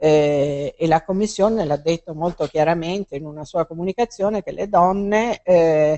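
Over a quiet background, a woman with a fairly low pitch and ordinary pitch variation talks at a moderate pace with hardly any pauses and big swings in loudness. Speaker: biologist and speaker; speaker. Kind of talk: public talk; interview answers. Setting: bookstore event with audience. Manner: hesitant, many fillers. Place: shop.

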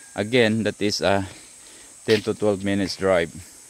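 At a slow pace, a man talks with a fairly low pitch, a slightly mellow tone and fairly even intonation.

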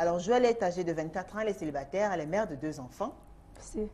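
A woman speaks very fast with a fairly low pitch and lively intonation over light background noise. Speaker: TV show host. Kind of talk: talk show host introducing guests. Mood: warm, playful, teasing. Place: studio. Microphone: lapel.

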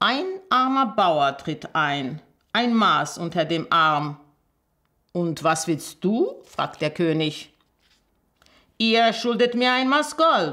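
A woman with a fairly low pitch and a bright, sharp tone speaks at a very slow pace, her pitch swinging very widely. She leaves long, frequent pauses against a quiet background. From Armenia. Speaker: storyteller, journalist and teacher reading a fairy tale. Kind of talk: reading aloud a fairy tale. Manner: expressive storytelling, measured pace. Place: home room.

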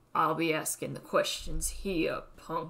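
A woman puts on a raspy, gruff character voice. She delivers it at a fairly slow pace. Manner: gruff, intimidating.

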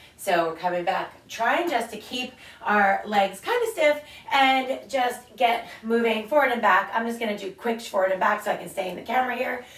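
In a raspy, put-on character voice with a fairly high pitch, a woman talks at a moderate pace with slight echo. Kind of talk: exercise tutorial.

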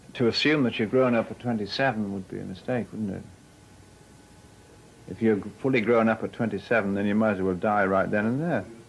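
A man talks at a fairly quick pace in a fairly low, unremarkable speaking voice with ordinary pitch variation. Light background noise is present. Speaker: interviewee. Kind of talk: interview answer. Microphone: old recording.

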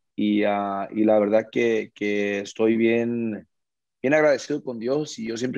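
Over a quiet background, a man with a dark, mellow tone speaks in fairly even intonation, the sound dry with no echo. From United States. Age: 20s. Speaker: regional Mexican singer; interviewee. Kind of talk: interview. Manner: halting, many repeated words. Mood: grateful, humble. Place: home room. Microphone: video call.

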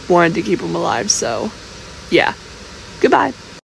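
A woman speaks at a moderate pace. Noticeable background noise sits behind her. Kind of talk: casual fan theory talk. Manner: quiet, soft-spoken.

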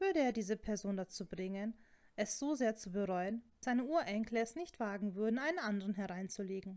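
Here is an unforced reading voice. Its pitch varies in an ordinary way.

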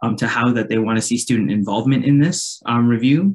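This man talks at a fairly quick pace in a medium pitch, with ordinary pitch variation, a slightly mellow tone and a slightly husky edge.

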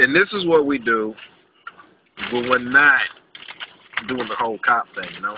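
Moderate pace with long, frequent pauses, dry sound with no echo, and noticeable background noise. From Louisiana. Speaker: police officer. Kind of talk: casual talk to camera. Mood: playful, joking. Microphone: phone near.

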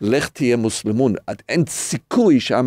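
A man with an English accent speaks at a medium pitch and moderate pace in a dark, mellow tone, recorded dry and close with no echo in a very clean, silent setting. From North America. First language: English (speaking Hebrew). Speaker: rabbi and podcast co-host. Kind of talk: casual chat.

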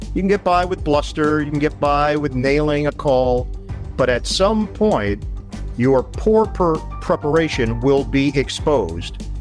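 Over faint music in the background, a man with a fairly high pitch talks at a fairly slow pace with lively intonation. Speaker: sports play-by-play broadcaster. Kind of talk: interview answer. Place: home room. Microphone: video call.

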